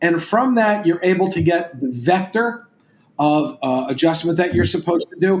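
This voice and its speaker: At a fairly quick pace, a man talks in a high voice. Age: 60s. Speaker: chiropractor and educator. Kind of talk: interview.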